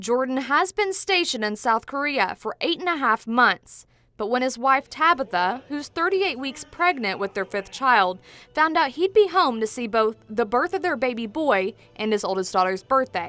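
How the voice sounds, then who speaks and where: A woman talks in a raised, projected voice with a bright, sharp tone and high pitch. Her pitch swings very widely at a moderate pace. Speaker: television news reporter. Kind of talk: TV news package narration.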